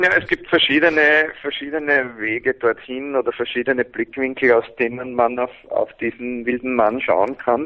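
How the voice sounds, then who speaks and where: In an ordinary speaking voice, a man talks at a moderate pace with a medium pitch and fairly even intonation. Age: 40s. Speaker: men's coach and seminar leader. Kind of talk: interview.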